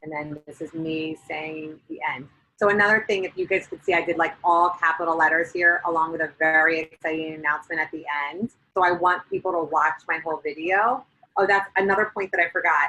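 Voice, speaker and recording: The voice has a bright, sharp tone, fairly even intonation, and big swings in loudness at a fairly quick pace. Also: woman, fairly low pitch for a woman. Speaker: network marketing distributor. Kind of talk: tutorial presentation on a group call. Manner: fast.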